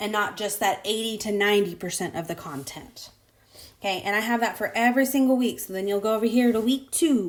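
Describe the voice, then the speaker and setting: A woman with a squeaky, fairly high voice and ordinary pitch variation speaks at a fairly quick pace on a very clean recording with a silent background. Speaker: college math instructor. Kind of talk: tutorial. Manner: casual.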